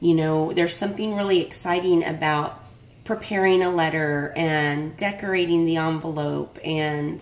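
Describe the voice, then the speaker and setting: A woman with a plain, everyday voice talks at a fairly slow pace in a fairly low pitch with fairly even intonation. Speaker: craft vlogger opening mail. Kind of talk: casual vlog chat. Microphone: phone near.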